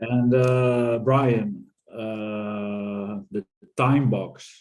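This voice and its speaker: Speaking with a Dutch accent, a man holds a medium pitch and fairly even intonation. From Netherlands. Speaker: audience member. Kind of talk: casual chat.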